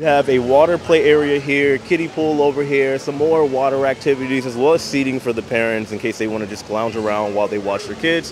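A man talks at a fairly quick pace with hardly any pauses and ordinary pitch variation. The sound is dry with no echo, though noticeable background noise is present. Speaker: travel vlogger. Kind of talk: travel vlog commentary. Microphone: phone near.

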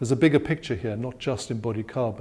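A man speaks in a dark, mellow tone with ordinary pitch variation. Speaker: interviewee. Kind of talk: interview answer. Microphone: lapel.

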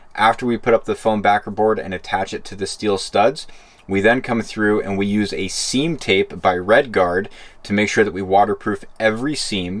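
A fairly low-pitched man speaks at a moderate pace. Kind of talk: tutorial.

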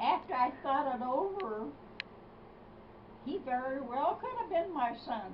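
Over light background noise, a woman speaks at a fairly slow pace in a high voice with lively intonation and long, frequent pauses. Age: 80s+. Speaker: grandmother. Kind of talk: casual family conversation. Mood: confused, rambling. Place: home room. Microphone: camera far.

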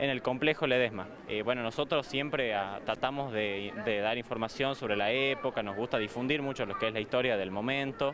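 Over noticeable background noise, a man talks at a fairly quick pace with hardly any pauses, ordinary pitch variation and a dry sound with no echo. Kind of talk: interview answer. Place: street. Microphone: handheld.

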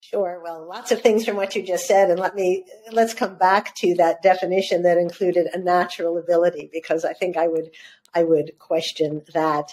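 A woman speaks at a fairly low pitch and moderate pace with fairly even intonation. Light background noise can be heard. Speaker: journalist and author. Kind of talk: interview conversation. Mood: warm, smiling. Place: home room. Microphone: video call.

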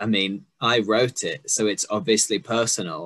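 Against a quiet background, a man of medium pitch speaks with a London accent in a bright, sharp tone. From England, working-class. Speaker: poet and interviewer; poet, interviewer. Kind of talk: casual interview. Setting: video call. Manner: jokey. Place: home room. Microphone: video call.

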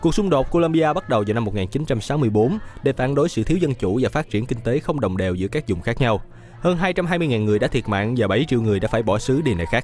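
A man talks at a very fast pace with lively intonation. His tone is slightly mellow and his pitch medium.

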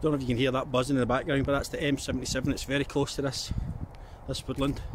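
A man speaks at a very fast pace in a monotone, flat intonation with very even loudness, the sound dry with no echo and the background noise noticeable. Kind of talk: casual vlog chat. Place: forest. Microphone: phone near.

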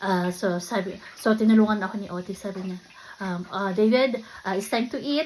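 Somewhat breathy and at a medium pitch, a woman speaks at a fairly slow pace with ordinary pitch variation. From Philippines. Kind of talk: casual vlog talk. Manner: halting, many fillers.

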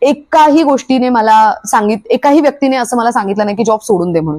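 A woman speaks in a plain, everyday voice, pitched fairly high with ordinary pitch variation. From Maharashtra, Alibag. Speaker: vlogger. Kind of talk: vlog monologue.

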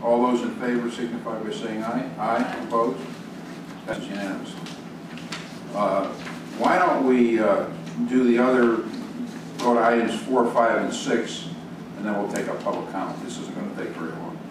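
A man at a moderate pace with long, frequent pauses and ordinary pitch variation, amid noticeable background noise and audible room echo. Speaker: board chair running a town meeting. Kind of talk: public meeting. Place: meeting room.

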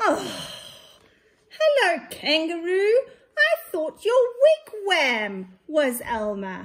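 A put-on character voice at an extremely high pitch. It goes at a very slow pace with long, frequent pauses. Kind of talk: nursery story reading. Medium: read story. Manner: bright, friendly. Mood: cheerful surprise.

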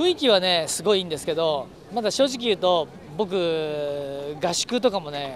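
With light background noise and a dry sound with no echo, a man speaks at a high pitch. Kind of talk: interview answer. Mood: relaxed, good-humored. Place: street.

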